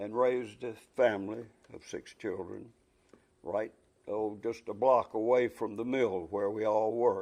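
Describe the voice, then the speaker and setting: A man with a North Carolina accent, fairly slow pace, fairly even intonation, long, frequent pauses, and big swings in loudness. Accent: Southern US (North Carolina). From US South, Shelby, North Carolina. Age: 80s+. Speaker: retired textile businessman. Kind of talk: oral history interview. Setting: recorded interview in Casar, NC.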